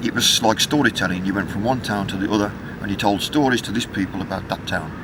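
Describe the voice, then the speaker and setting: A very fast-paced man's voice, fairly low in pitch, amid noticeable background noise. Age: 60s. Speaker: musician. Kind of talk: interview.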